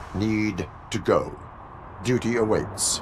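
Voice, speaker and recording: A man's put-on character voice at medium pitch, with clear background noise. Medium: video game. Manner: clipped, monotone, formal.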